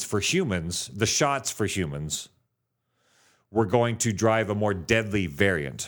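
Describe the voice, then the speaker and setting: In a very clean recording with a silent background, a man with a fairly low pitch speaks very slowly and with lively intonation. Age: 50s. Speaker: podcast co-host. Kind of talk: casual chat. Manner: animated.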